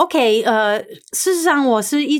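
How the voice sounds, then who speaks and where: A woman's voice swings very widely in pitch. The recording is very clean, with a silent background. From US, New York. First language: English (speaking Chinese). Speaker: TV personality. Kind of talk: interview.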